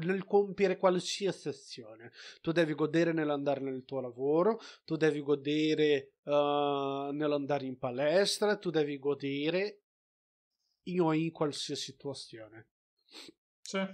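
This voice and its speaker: Over a quiet background, a man with a fairly high pitch and ordinary pitch variation talks at a fairly slow pace, leaving long, frequent pauses. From outside Italy, a developing country. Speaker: film review podcast co-host. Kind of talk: casual chat.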